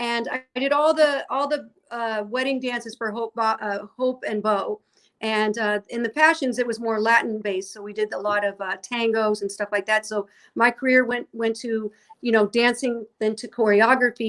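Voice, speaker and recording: A woman's fairly high pitch at a moderate pace. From US Midwest, St. Louis, Missouri. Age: 60s. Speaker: dancer and skincare entrepreneur. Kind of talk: interview. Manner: animated, with frequent fillers and repetitions.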